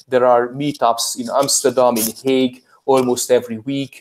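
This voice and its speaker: At a moderate pace, a man speaks at medium pitch with a Hungarian accent. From Hungary. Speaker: crypto vlogger and IT worker. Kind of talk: casual interview chat.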